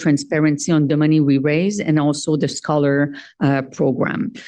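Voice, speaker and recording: A woman with a French accent, very deep and low in pitch, dark and mellow in tone, at a moderate pace against a quiet background. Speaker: organization treasurer presenting finances. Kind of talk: annual meeting financial report. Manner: hesitant, many filler sounds.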